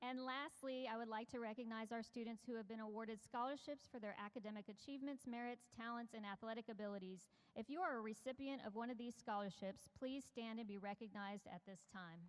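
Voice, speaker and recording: A woman with a fairly high voice speaks at a very fast pace with hardly any pauses. Her pitch variation is ordinary. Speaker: school administrator. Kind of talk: ceremony speech. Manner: loud; formal.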